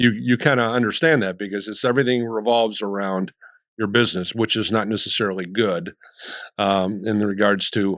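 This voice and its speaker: The man's tone is bright and sharp, with ordinary pitch variation. He keeps a moderate pace over a quiet background. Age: 60s. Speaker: sports radio network founder. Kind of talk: casual chat.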